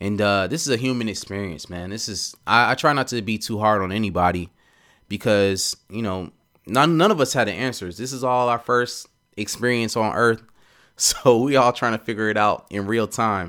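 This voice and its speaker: This man's voice has a bright, sharp tone and a medium pitch, with ordinary pitch variation and an American accent. The recording is very clean, with a silent background. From US South, Atlanta. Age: 30s. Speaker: podcast host. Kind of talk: personal monologue. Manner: slow.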